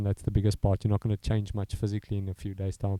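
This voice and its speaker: A man in a South African accent has a dark, mellow tone, a fairly low pitch and fairly even intonation, in a dry, close sound with no echo. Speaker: strength and conditioning coach. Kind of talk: interview. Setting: commentary box. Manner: halting.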